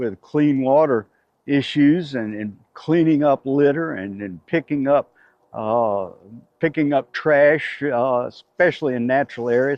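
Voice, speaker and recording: A man with a Southern US accent speaks at a fairly slow pace. His pitch is medium, with ordinary pitch variation. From US South, Chattanooga, Tennessee. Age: 70s. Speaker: conservation volunteer. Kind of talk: interview. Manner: halting, many fillers.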